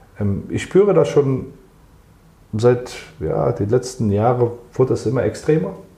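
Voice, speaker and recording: A man with a dark, mellow tone and vocal fry speaks fairly slowly at a medium pitch. His intonation is lively, broken by long, frequent pauses. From Germany. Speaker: football club sports director. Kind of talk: interview.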